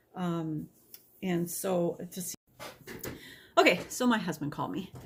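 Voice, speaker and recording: A woman is speaking at a moderate pace. Her pitch sits fairly low. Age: 50s. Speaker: vlogger. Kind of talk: casual talk to camera. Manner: halting.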